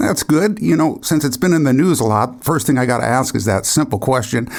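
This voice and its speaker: With a plain, everyday voice, a man of medium pitch speaks at a fairly quick pace, his intonation lively and his loudness very even. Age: 60s. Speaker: podcast host. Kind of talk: interview; scripted intro.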